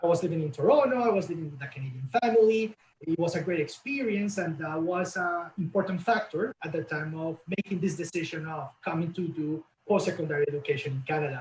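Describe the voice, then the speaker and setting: A man with a Latin American accent, high pitch, ordinary pitch variation and a very fast pace. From Colombia. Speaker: college representative. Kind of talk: webinar interview.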